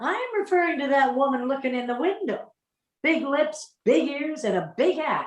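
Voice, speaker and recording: Putting on a gruff character voice, a woman speaks in a high pitch at a moderate pace with lively intonation. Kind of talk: 1940s radio acting. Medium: audio drama. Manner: gruff, slangy.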